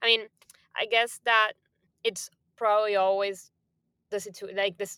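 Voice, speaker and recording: With a Spanish accent, the voice has a bright, sharp tone and moves at a moderate pace. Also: woman. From Argentina, Buenos Aires. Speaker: music industry programming executive. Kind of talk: interview.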